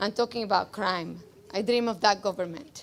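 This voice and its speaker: In a very clean recording with a silent background, a woman with a slight Cuban accent talks with fairly even intonation. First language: Spanish. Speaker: rally speaker, immigrant. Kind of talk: political rally speech, partly read from notes. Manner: loud.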